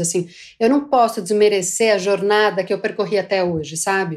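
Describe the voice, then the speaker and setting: A woman has a plain, everyday voice at a medium pitch and moderate pace. The recording is very clean, with a silent background. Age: 40s. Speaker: market insights manager. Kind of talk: casual chat.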